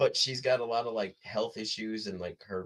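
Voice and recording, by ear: A man speaks at a fairly low pitch. His tone is fairly bright, with ordinary pitch variation.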